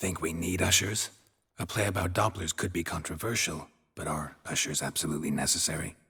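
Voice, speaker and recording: Using a put-on character voice, a man speaks at a fairly quick pace with a very deep, low pitch. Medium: video game. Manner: terse, clipped, dry.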